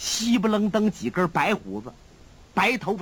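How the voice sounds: Someone reads in a natural voice with lively intonation.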